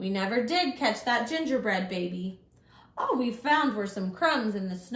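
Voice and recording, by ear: Lively intonation in a natural voice reading aloud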